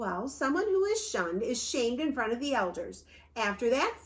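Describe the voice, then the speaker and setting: A woman does a put-on character voice at a high pitch. The pace is moderate. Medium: read story. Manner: stern, authoritative.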